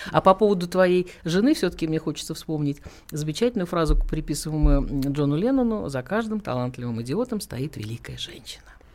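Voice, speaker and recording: This woman has a very deep, low pitch with very wide swings, and she talks at a fairly quick pace. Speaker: radio host. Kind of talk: casual interview chat. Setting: radio studio.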